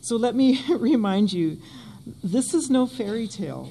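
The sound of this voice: A woman talks at a fairly slow pace with a fairly high pitch and lively intonation. Her tone is dark and mellow, with vocal fry.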